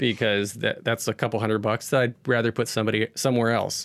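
On a very clean, dry, close recording with no echo and a silent background, a man with a medium-pitched voice speaks at a fairly quick pace with fairly even intonation. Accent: American. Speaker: podcast network founder and audio technician. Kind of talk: interview.

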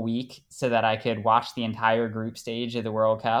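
Speaking with an American accent, a man uses an unremarkable speaking voice at medium pitch against a quiet background. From United States. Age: 20s. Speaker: soccer fan. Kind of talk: casual interview.

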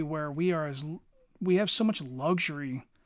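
A man speaks in a Philadelphia accent. The recording is very clean with a silent background. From Philadelphia area, US. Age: 40s. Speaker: podcast co-host, army veteran. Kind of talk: casual chat.

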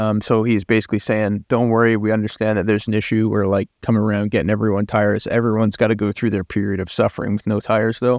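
In a western Canadian accent, a man speaks at a very fast pace with hardly any pauses and a monotone, flat intonation at a fairly low pitch, the sound dry and close with no echo against a quiet background. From western Canada. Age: 20s. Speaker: amateur racing driver and podcast co-host. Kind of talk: casual chat.

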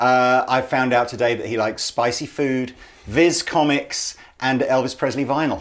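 A man with an English accent talks at a moderate pace and a medium pitch. His intonation stays fairly even. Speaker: podcast host. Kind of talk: interview. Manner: halting.

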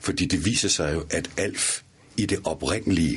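Over noticeable background noise, a man with a very deep, low pitch talks at a fairly slow pace with lively intonation. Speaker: actor and voice actor. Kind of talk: interview. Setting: studio.

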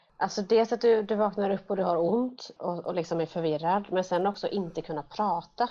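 Moderately paced, a woman talks at a medium pitch with ordinary pitch variation. She has a plain, everyday voice. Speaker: podcast co-host with cystic fibrosis. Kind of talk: casual interview.

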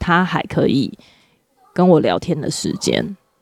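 The voice has a dark, mellow tone with vocal fry and ordinary pitch variation. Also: woman. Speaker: podcast co-host, mother. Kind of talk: casual chat.

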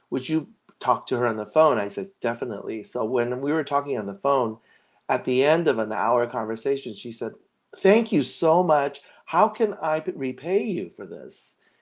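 Against a quiet background, a man with a Californian accent speaks at a fairly high pitch with very wide pitch swings. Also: moderate pace. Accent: Californian American English. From Los Angeles, US. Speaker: designer and seminarian. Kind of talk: casual interview.

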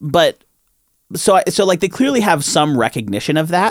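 A man talks with vocal fry. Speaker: podcast co-host. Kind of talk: casual chat. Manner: laughs often.

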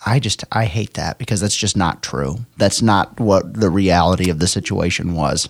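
His pitch varies in an ordinary way. The man's voice is very deep and low. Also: moderate pace. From Arkansas (Sherwood). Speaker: sports podcast co-host. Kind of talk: casual chat.

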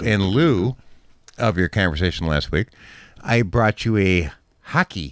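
The speaker reads aloud. It is plain reading aloud.

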